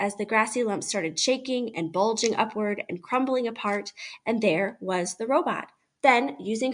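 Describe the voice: Over a quiet background, plain reading aloud with ordinary pitch variation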